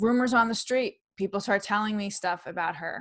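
This woman talks at a fairly quick pace with an American accent. Her pitch varies in an ordinary way, and the background is quiet. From New York City. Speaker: comedian and author. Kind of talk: interview chat. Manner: animated, versatile with voices. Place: home room. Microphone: webcam.

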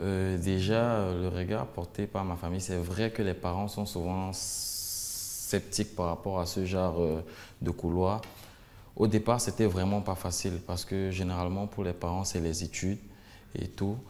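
The speech moves at a fairly slow pace in a monotone, flat intonation. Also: man, very deep, low pitch for a man. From Cameroon. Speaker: singer; guest. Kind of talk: interview. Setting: studio. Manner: hesitant. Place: studio. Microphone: lapel.

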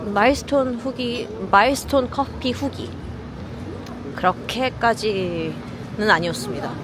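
In a Korean accent, a woman speaks at a moderate pace. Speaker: live-streaming travel vlogger. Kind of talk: live-streamed walking tour commentary. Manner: casual, chatty.

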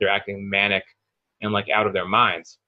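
The background is quiet. A man talks over it. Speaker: spiritual coach guest. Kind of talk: interview answer. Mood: thoughtful, earnest explaining. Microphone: video call.

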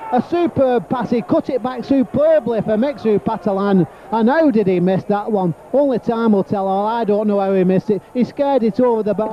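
Over light background noise, a man with an extremely high voice and an animated tone talks at a fairly quick pace with hardly any pauses, ordinary pitch variation and a dry sound with no echo. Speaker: football commentator. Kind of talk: live football commentary. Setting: stadium commentary, archive match broadcast. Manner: animated, exclaiming at near misses and goals. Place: stadium.

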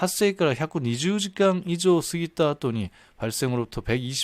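Very wide pitch swings from a man, on a very clean recording against a silent background. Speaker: Japanese-language news commentator. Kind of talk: tutorial. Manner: halting.

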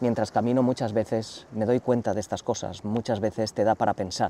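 A man with a dark, mellow tone talks at a fairly quick pace. The sound is dry with no echo, and there is light background noise. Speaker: travel youtuber. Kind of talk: casual vlog chat. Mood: calm, reflective year-end talk. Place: waterside. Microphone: lapel.

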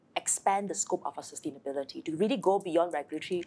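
A very fast, fairly low-pitched woman's voice. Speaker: guest. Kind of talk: interview answer. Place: studio.

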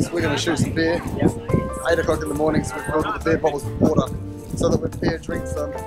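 A man talks at a very fast pace over loud background music. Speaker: vlogger. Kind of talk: casual vlog chat. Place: beach. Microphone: phone near.

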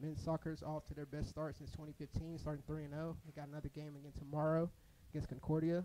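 Over light background noise, a man talks at a very fast pace. His voice is fairly high in pitch, with a dark, mellow tone. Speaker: athletics staff member; play-by-play commentator. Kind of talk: casual chat during broadcast; sports commentary. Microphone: headset.

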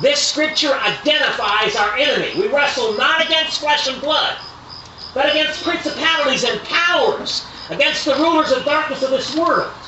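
With audible room echo and light background noise, a man talks at a fairly quick pace in an extremely high voice. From eastern United States. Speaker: preacher at tent revival meetings. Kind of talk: sermon, biblical King James reading. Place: tent. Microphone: camera far.

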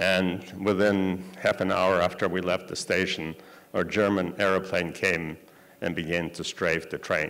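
A man speaks at a fairly slow pace. His very deep, low voice stays monotone and flat. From Poland. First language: Yiddish. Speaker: Holocaust survivor giving a talk. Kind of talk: lecture. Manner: halting, with many fillers. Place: hall. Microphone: podium.

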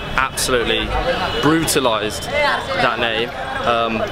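A man speaks with clear music in the background, the sound dry with no echo. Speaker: travel vlogger. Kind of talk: casual vlog chat. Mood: relaxed, upbeat. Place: street. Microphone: phone near.

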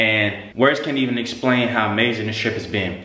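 A man speaks with monotone, flat intonation. Audible room echo surrounds his voice. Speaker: vlogger. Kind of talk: casual vlog chat. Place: gym. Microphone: phone near.

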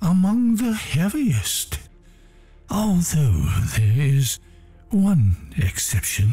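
Faint music plays in the background as a man with a fairly high pitch speaks at a very slow pace, with long, frequent pauses. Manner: smug, menacing.

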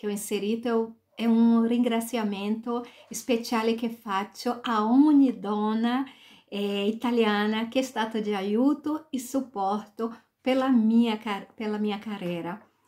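Against a quiet background, a woman with a dark, mellow tone and a fairly high pitch speaks at a very slow pace with fairly even intonation. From Brazil, Salvador, Bahia. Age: 40s. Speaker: author. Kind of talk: self-presentation. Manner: halting, mixing Portuguese and Italian. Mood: warm, smiling. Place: home room. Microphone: webcam.

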